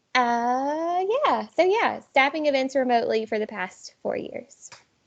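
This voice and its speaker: Loud and high-pitched, a woman speaks at a very slow pace with lively intonation. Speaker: nonprofit staff presenter. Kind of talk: virtual presentation.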